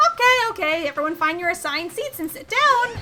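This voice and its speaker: Using a put-on character voice, a woman talks very fast at an extremely high pitch with very wide pitch swings, over clear background noise. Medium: game stream.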